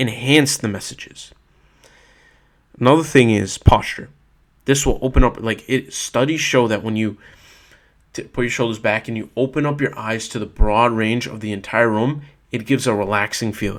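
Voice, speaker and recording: In a very clean recording with a silent background, a man at medium pitch keeps a fairly even intonation and leaves long, frequent pauses. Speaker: self-help vlogger. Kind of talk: casual monologue. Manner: fast.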